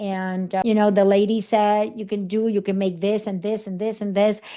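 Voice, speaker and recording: Against a quiet background, a woman with a Puerto Rican accent speaks at a fairly high pitch. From Puerto Rico. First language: Spanish. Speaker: speaker and coach. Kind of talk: interview storytelling. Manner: animated.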